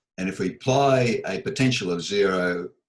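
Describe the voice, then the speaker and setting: A man's speech moves at a moderate pace with ordinary pitch variation. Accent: Australian. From Melbourne, Australia. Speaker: audio and acoustics engineer. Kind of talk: oral history interview answer.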